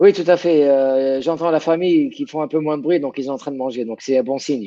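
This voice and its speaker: A man talks at a fairly quick pace, his fairly high pitch showing ordinary variation and his tone dark and mellow. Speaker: sports science professor. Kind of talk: interview. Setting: video call. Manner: halting.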